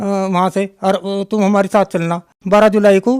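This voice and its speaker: In a dry, close sound with no echo, a man speaks with monotone, flat intonation. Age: 60s. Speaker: devotee giving testimony. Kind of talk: testimony. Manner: halting, with many fillers.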